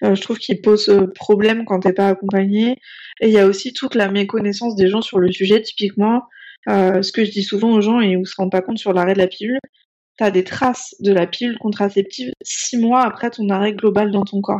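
A woman of medium pitch with a dark, mellow tone speaks at a fairly quick pace with fairly even intonation. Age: 30s. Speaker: naturopath and sex therapist. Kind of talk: casual chat.

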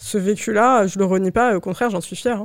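On a very clean recording with a silent background, a woman talks in a plain, everyday voice. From Paris suburbs, France. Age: 20s. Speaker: LinkedIn ghostwriter. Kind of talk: casual interview.

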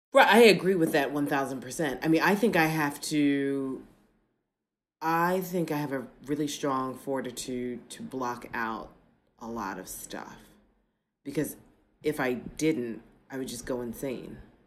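A woman with an American accent, very deep and low, fairly slow with long, frequent pauses, lively intonation and big swings in loudness. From United States. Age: 40s. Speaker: political science professor. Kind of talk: casual interview conversation. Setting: remote from home apartment, traffic noise.

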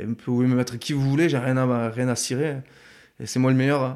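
Very fast pace, with fairly even intonation. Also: man. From Tarbes, Hautes-Pyrénées (Bigorre), southwest France. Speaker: former professional rugby player. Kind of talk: casual interview. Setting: in person, in Tarbes. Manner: halting, many fillers and repetitions.

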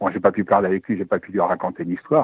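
A man's fairly low voice at a very fast pace. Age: 70s. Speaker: caller, retired airline sales director. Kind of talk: call-in testimony.

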